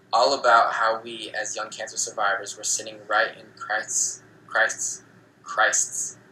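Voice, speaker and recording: A man speaks at a fairly slow pace with big swings in loudness. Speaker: book club host reading aloud. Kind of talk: reading aloud. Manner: halting.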